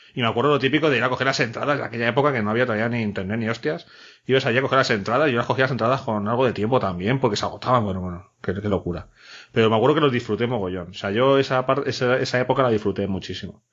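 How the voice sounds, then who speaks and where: This man talks at a very fast pace. His pitch variation is ordinary. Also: medium pitch for a man. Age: 30s. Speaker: podcast host. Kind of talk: casual chat.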